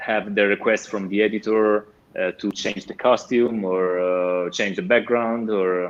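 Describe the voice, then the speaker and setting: Over noticeable background noise, a man with an Italian accent talks at a fairly slow pace, with fairly low pitch and fairly even intonation. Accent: Italian accent, self-described rusty English. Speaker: comic artist and painter. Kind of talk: interview. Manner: halting, many fillers.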